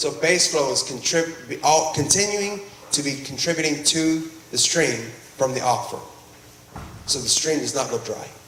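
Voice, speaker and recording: In a room with audible echo and noticeable background noise, a man speaks at a moderate pace in a fairly high pitch with ordinary pitch variation. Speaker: groundwater district presenter. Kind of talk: public meeting presentation. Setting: meeting room with audience.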